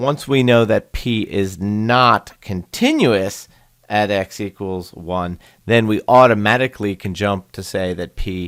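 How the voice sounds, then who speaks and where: A man speaks in a plain, everyday voice at a fairly low pitch with ordinary pitch variation. His pace is fairly slow, on a very clean recording with a silent background. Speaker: math teacher. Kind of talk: lecture.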